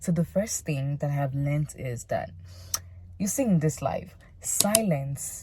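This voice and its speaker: A woman speaks at a moderate pace in a very deep, low voice with a somewhat breathy quality and a dark, mellow tone. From Nigeria. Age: 20s. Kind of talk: casual talk to camera.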